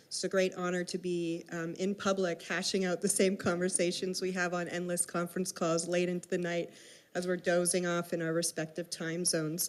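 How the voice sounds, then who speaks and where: This woman's fairly low voice moves at a fairly quick pace in a monotone, flat intonation. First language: Hebrew. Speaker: professor, panel chair. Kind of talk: panel moderation and introductions.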